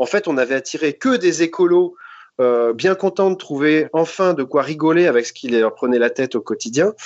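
A man speaks with a plain, everyday voice at a fairly high pitch. His intonation is lively and his pace moderate. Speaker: comedian. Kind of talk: casual chat. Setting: video call. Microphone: delayed connection, lag.

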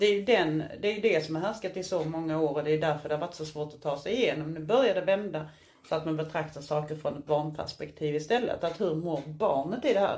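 This is a plain, everyday voice from a woman with a fairly low pitch and ordinary pitch variation. She talks at a fairly quick pace, with big swings in loudness. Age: 40s. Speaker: podcast co-host. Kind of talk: casual chat. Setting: hotel room.

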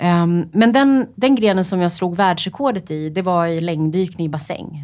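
A woman talks at a moderate pace with a fairly low pitch and ordinary pitch variation. Background noise is noticeable. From Sweden, Upplands Väsby. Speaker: freediver, world record holder. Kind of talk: interview. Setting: studio. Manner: hesitant, many fillers.

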